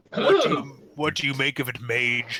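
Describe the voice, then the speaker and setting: Using a put-on character voice, a man talks at a moderate pace and medium pitch with ordinary pitch variation. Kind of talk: mock-archaic fantasy speech. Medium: actual play. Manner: formal, dignified.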